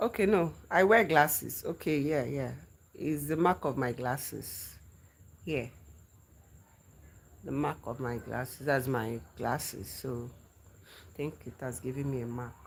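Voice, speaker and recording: A woman speaks in a Nigerian accent with a very deep, low pitch and lively intonation. Her loudness swings widely, broken by long, frequent pauses. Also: fairly slow pace. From Nigeria, grew up in the north. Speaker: livestreamer. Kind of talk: casual live chat with viewers. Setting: livestream. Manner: repeats phrases, conversational.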